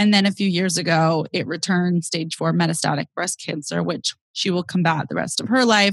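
In a very clean recording with a silent background, a woman speaks with a Californian accent and a somewhat breathy voice. The sound is dry and close with no echo, and her pitch varies in an ordinary way. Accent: General American (Californian). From US West Coast, San Francisco Bay Area. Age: 20s. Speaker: comedian and grief podcast host. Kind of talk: casual interview chat.

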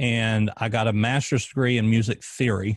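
Over a quiet background, a man with a Southern US accent talks at a moderate pace and a medium pitch. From US South, Arkansas. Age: 30s. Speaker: former police officer and podcast host. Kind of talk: casual interview, personal testimony.

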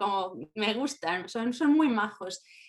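Fairly high-pitched, this woman's speech shows ordinary pitch variation in a plain, everyday voice. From Spain, Valladolid. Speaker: university language teacher. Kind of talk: casual interview.

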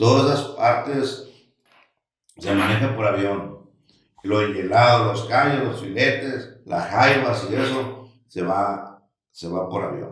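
The pace of this man's speech is very slow. He uses a medium pitch with ordinary variation. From Sinaloa, Mexico (Los Mochis). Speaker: restaurant entrepreneur. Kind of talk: interview, casual chat. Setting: studio.

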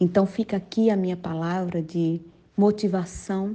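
The voice has a dark, mellow tone and fairly even intonation. It moves at a moderate pace. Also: woman. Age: 50s. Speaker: preacher. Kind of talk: sermon.

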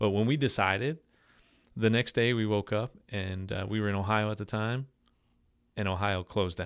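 In a very clean recording with a silent background, a fairly low-pitched man with a New York accent speaks at a moderate pace with long, frequent pauses. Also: fairly even intonation. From Long Island, New York. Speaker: pastor. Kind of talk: casual interview chat. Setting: podcast studio.

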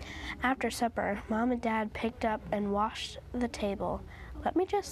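The text is read aloud in a natural voice.

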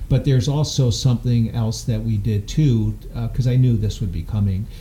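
A plain, everyday voice, a man at medium pitch with fairly even intonation and a fairly quick pace. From upstate New York. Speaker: gym owner and founder. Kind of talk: interview storytelling. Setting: studio.

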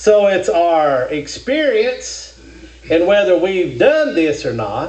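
This man's voice carries audible room echo, with noticeable background noise behind it. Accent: American. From Kentucky. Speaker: preacher. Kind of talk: sermon.

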